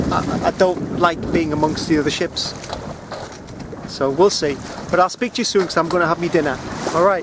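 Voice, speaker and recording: Over noticeable background noise, a man speaks loudly at a high pitch and a fairly quick pace, with fairly even intonation and long, frequent pauses. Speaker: solo sailor vlogger. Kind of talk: casual video diary. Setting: outdoors on a sailboat at sea. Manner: loud, raised over wind; hesitant, many ums and uhs.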